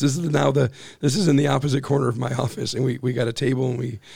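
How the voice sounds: Vocal fry runs through this man's medium-pitched voice, which has a slightly mellow tone.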